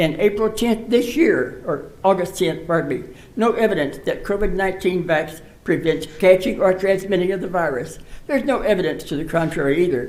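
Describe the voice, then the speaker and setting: Audible room echo surrounds a man's high-pitched voice. He speaks at a moderate pace with ordinary pitch variation. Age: 80s+. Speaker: public commenter. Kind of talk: public comment. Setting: city council meeting.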